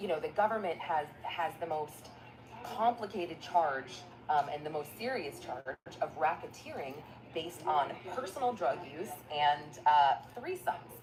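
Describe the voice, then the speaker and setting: A woman speaks at a fairly slow pace in a very deep, low voice with very wide pitch swings, over noticeable background noise. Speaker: court news commentator. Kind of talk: news recap vlog. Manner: soft-spoken.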